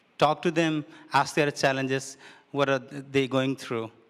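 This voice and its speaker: Speaking at a fairly slow pace with a non-native accent, a man has a medium pitch. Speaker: refugee advocate. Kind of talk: panel discussion. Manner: halting.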